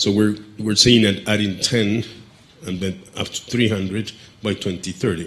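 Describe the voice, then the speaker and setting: Pausing long and often, a man speaks in a fairly low voice with fairly even intonation. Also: fairly slow pace. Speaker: panel moderator, head of a trade research center. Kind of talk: panel discussion moderation. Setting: stage with audience. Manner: halting, many fillers. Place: hall. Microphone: handheld.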